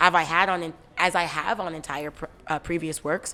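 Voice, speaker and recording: A woman speaks at a fairly low pitch. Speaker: rapper. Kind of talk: interview. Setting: music awards gala. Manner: halting.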